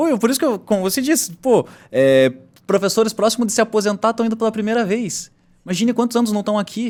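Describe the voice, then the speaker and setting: A man with a high-pitched voice talks at a very fast pace with lively intonation. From Paranaguá, Paraná, Brazil. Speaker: podcast host. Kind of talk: casual chat.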